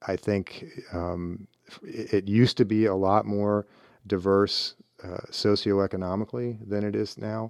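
In a normal speaking voice with an American accent, the speaker talks with fairly even intonation, and the sound is dry and close with no echo. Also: man, fairly low pitch for a man. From US Midwest, Cleveland, Ohio. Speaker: former navy secretary. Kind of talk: interview.

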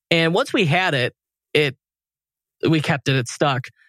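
A man's plain, everyday voice at a moderate pace with ordinary pitch variation, dry and close with no echo, on a very clean recording with a silent background. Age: 30s. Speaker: e-commerce agency owner and podcaster. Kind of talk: interview conversation.

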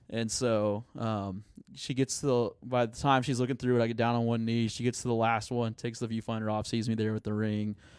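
Recorded very cleanly over a silent background, a man with an American accent talks at a fairly quick pace and medium pitch, in a monotone, flat intonation with hardly any pauses. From Oklahoma, Tulsa area. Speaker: student pastor. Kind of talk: casual interview chat.

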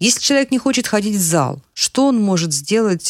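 On a very clean recording with a silent background and a dry, close sound with no echo, a woman talks at a moderate pace with very wide pitch swings. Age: 50s. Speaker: podcast co-host. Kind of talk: casual interview chat.

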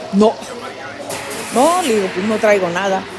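A woman's fairly high voice in a Mexico City accent, with music in the background. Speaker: retired footballer. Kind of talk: interview. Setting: cafe.

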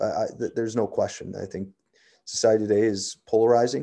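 With a Canadian accent, a man speaks in a dark, mellow tone at a fairly low pitch. His delivery is monotone and flat, at a fairly quick pace against a quiet background. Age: 50s. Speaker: police sergeant. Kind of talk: interview.

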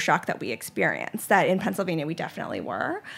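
Her pitch varies in an ordinary way as a woman talks with vocal fry. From Charlotte, North Carolina. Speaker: ice cream company founder. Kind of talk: interview. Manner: hesitant, many fillers.

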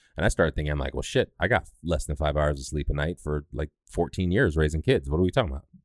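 Talking at a very fast pace, a man uses a very deep, low pitch with ordinary variation and vocal fry, in a dry, close sound with no echo. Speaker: podcast host. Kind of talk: casual chat.

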